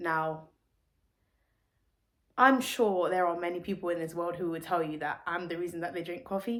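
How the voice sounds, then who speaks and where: A woman's fairly low voice with ordinary pitch variation, on a very clean recording with a silent background. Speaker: singer and songwriter. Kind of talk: casual talk to camera.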